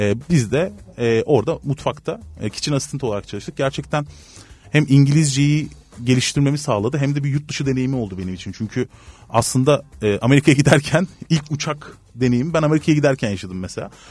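Somewhat breathy, a man speaks at a fairly quick pace in a fairly high pitch, with ordinary pitch variation. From Turkey, Antalya. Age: 30s. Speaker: human resources consultant. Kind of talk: interview.

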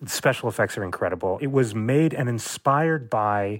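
A man talks in a plain, everyday voice, fairly quickly and with ordinary pitch variation. The recording is very clean, with a silent background. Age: 40s. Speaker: historian. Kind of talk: panel discussion.

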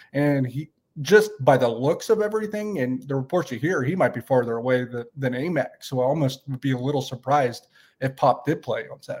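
A somewhat breathy man at a fairly quick pace with lively intonation, on a very clean recording with a silent background. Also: fairly high pitch for a man. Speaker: sports podcast co-host. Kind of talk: casual sports analysis chat. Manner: conversational, filler-heavy, self-correcting.

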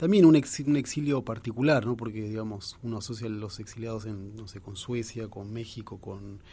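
Somewhat breathy with a dark, mellow tone, the voice moves at a moderate pace with hardly any pauses, ordinary pitch variation and big swings in loudness. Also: man, medium pitch for a man. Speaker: journalist and author. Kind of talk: radio interview.

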